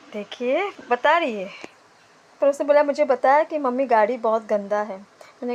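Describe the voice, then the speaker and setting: A soft-spoken woman talks at a fairly slow pace. Her pitch variation is ordinary. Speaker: vlogger, mother. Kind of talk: travel vlog narration. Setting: outdoors in snowy valley.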